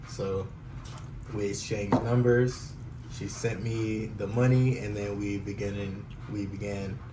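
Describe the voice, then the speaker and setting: A man with an American accent speaks at a fairly low pitch and a fairly slow pace, with long, frequent pauses, audible room echo and noticeable background noise. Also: fairly even intonation. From California, San Jose area. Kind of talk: casual chat.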